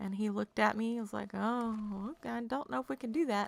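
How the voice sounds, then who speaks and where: A woman with an animated tone at a fairly quick pace, on a very clean recording with a silent background. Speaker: video game streamer. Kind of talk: casual chat.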